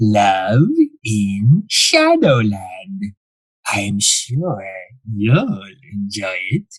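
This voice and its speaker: A man puts on a character voice at a fairly low pitch, speaking at a very slow pace with long, frequent pauses. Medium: audio drama. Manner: suave, quietly menacing.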